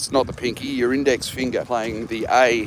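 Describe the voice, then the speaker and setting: Over noticeable background noise, a man with an Australian accent talks at a medium pitch and a moderate pace. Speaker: jazz musician. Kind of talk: casual chat. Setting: outdoors. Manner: halting.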